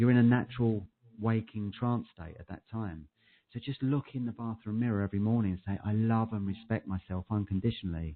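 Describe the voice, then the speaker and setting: A man with a British accent and a fairly low pitch talks at a fairly quick pace, his intonation fairly even but his loudness swinging widely. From UK. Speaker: clinical hypnotherapist. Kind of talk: interview. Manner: monotone at times. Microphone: echo on the line.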